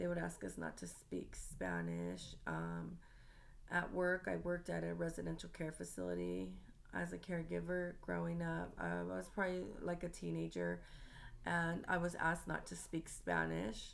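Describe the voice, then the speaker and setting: Speaking with an American accent at a moderate pace, a woman's voice comes with audible room echo. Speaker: student. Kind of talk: class presentation monologue. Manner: halting, many filler ums.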